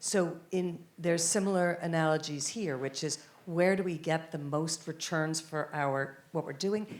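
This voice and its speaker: A woman with an American accent and a plain, everyday voice speaks at a fairly slow pace in a fairly low pitch, with fairly even intonation and hardly any pauses. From United States. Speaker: conference panelist. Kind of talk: panel discussion.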